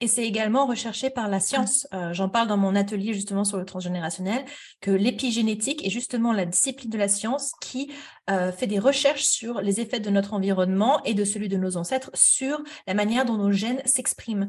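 Over a quiet background, a woman with a somewhat breathy, fairly high voice talks at a fairly quick pace with ordinary pitch variation. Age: 30s. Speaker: therapist. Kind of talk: interview.

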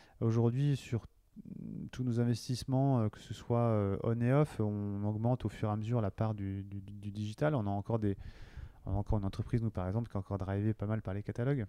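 On a very clean recording with a silent background, a man speaks at a fairly quick pace. His tone is dark and mellow, with fairly even intonation. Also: fairly low pitch for a man. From western France, Cholet (Maine-et-Loire). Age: 40s. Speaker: marketing director. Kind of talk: interview. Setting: company office. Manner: halting, many fillers and repetitions.

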